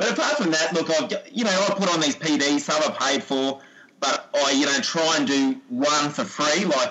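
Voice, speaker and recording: With very wide pitch swings, a man with a fairly high pitch speaks at a moderate pace over noticeable background noise. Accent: Australian. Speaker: sports coach and PE teacher. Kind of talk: casual interview chat.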